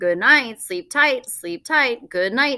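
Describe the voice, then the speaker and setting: A woman speaks at a fairly slow pace in a high-pitched voice. She uses a put-on character voice. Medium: read story. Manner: repetitive, squawking parrot talk.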